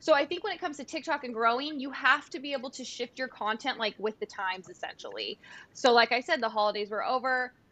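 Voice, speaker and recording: Projecting a raised voice, a woman with a Californian accent speaks at a very fast pace and a high pitch, with lively intonation and big swings in loudness. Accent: Californian American. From US West Coast, San Diego. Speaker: content creator and former event planner. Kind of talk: casual chat.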